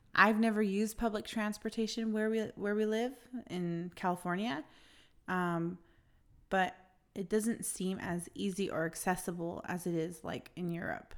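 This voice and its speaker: Moderately paced, a woman speaks at a medium pitch with ordinary pitch variation. It is an ordinary speaking voice in a very clean recording with a silent background. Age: 30s. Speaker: podcast co-host. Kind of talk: casual chat.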